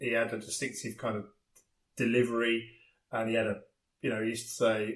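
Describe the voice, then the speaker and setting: A man speaks with an English accent. He talks at a fairly quick pace. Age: 40s. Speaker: podcast host. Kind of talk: casual chat.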